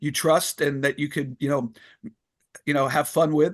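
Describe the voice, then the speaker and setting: A man with an unremarkable speaking voice and fairly high pitch talks at a moderate pace, recorded dry and close with no echo against a quiet background. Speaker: former wrestling ring announcer and author. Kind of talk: interview answer, casual conversational storytelling.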